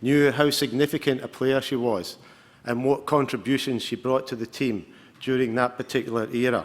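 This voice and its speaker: The speaker has a Glaswegian accent and ordinary pitch variation at a moderate pace. The recording is very clean, with a silent background. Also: man. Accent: Scottish, Glaswegian. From Scotland, Glasgow. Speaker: football coach. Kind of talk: award presentation speech.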